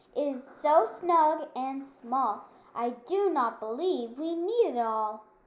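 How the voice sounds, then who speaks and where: A woman's put-on character voice, high-pitched with lively intonation, at a very slow pace. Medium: read story.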